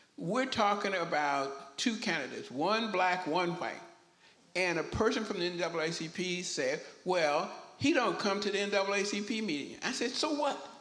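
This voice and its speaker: Amid audible room echo, a man talks at a high pitch and a moderate pace with lively intonation. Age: 80s+. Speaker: town hall panelist. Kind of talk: panel discussion. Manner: halting, repeats words.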